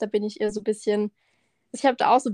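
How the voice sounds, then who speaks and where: A woman speaks very fast in a fairly high voice with a dark, mellow tone. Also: dry, close sound with no echo. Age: 20s. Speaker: podcast co-host, trainee tax clerk. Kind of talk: casual chat. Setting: remote call.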